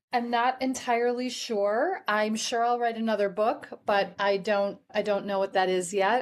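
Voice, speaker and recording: A woman's fairly high voice with fairly even intonation. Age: 60s. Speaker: life coach and author. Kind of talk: interview.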